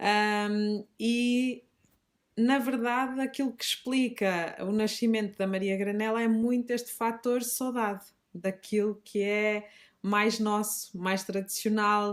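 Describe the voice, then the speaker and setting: A woman's fairly high voice at a very slow pace, on a very clean recording with a silent background. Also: fairly even intonation. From northern Portugal, Minho (Fafe, Braga district). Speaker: teacher and shop founder. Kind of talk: podcast interview. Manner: hesitant, many fillers.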